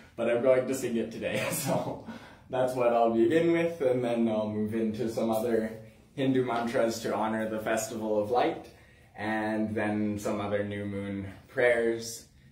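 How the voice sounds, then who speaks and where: Audible room echo surrounds a man speaking at a moderate pace with fairly even intonation. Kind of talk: spiritual livestream talk. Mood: calm, warm, laughing. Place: home room. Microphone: camera far.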